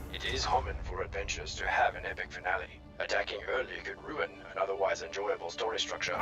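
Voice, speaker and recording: With clear background noise behind him, a man performs a cartoonish character voice. He speaks at a very fast pace. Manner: formal, flat, precise.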